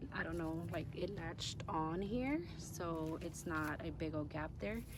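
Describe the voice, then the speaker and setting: A woman at a fairly slow pace, amid noticeable background noise and audible room echo. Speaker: gardening and lifestyle vlogger. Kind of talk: casual vlog narration. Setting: outdoors in vegetable garden. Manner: hesitant, many fillers; loud.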